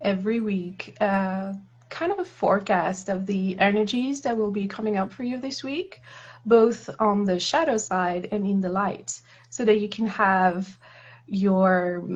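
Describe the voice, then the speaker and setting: A woman with a French accent speaks at a medium pitch. Her voice is somewhat breathy. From France. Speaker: tarot reader. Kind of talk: casual chat. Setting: live stream.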